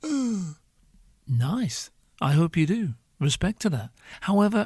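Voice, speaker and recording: A man with a high pitch talks at a fairly slow pace, swinging very widely in pitch. The sound is dry and close, without echo. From northern England. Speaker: podcast host. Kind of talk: comedic monologue. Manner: animated.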